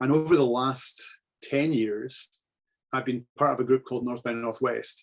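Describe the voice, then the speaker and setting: A man with a Scottish accent speaks in a monotone, flat intonation, the sound dry and close with no echo. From Scotland (central). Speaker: photographer giving club talk. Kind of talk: slideshow presentation.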